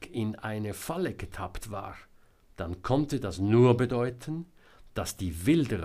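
Intonation stays lively in this natural reading voice.

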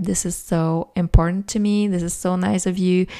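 In a Quebec accent, a woman speaks at a fairly slow pace and medium pitch, her dark, mellow tone showing ordinary pitch variation on a very clean recording with a silent background. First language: French. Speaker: podcast host, self-published author. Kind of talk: casual solo podcast monologue.

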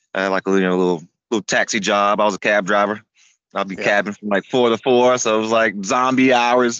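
A man with a normal speaking voice, fairly low pitch, fairly even intonation and a fairly quick pace. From US South, Florida (Tampa area). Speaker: amputee cyclist and racer. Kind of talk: casual interview chat.

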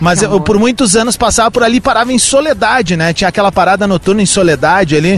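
Noticeable background noise sits behind a man talking at a very fast pace. His pitch is high and his intonation lively. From Rio Grande do Sul interior (Cerro Largo). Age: 40s. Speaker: radio host. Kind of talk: live outdoor radio broadcast with street interviews. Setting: outdoors in the street. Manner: animated.

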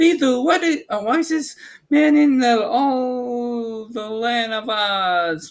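A man uses a put-on character voice. It sits at an extremely high pitch. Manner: sweet but cold.

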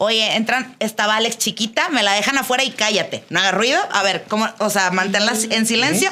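Fairly quick female speech, fairly high in pitch with ordinary pitch variation, very even loudness and hardly any pauses, over noticeable background noise. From Monterrey, northern Mexico. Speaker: podcast contributor. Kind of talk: casual chat.

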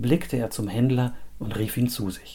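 A man's medium-pitched, somewhat breathy voice, dark and mellow, with a dramatic, solemn tone at a moderate pace. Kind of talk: fairy tale storytelling, read aloud as a scripted tale. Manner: measured, dramatic storyteller's pace with a solemn, old-fashioned tone.

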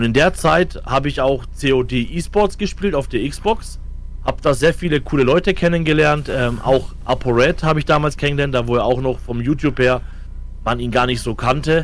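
This man talks with a fairly high pitch. Vocal fry runs through his voice. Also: ordinary pitch variation, moderate pace. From Franconia, Germany (Fürth). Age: 30s. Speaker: esports coach. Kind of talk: casual chat.

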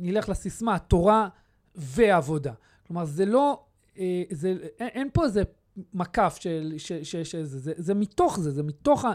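A man with a high pitch and lively intonation speaks at a fairly slow pace with long, frequent pauses, on a very clean recording with a silent background. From Israel. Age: 30s. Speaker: youth movement secretary-general. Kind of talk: interview. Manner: halting, many repetitions and fillers.

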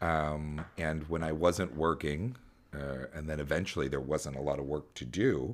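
A man's very deep, low voice with vocal fry and ordinary pitch variation. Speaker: podcast host. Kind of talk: casual chat. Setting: remote call. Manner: loud.

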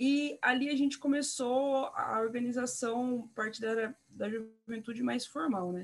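Her voice sits fairly high, and this woman's pitch moves in an ordinary way. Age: young. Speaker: city councillor. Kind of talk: interview. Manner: hesitant, many fillers.

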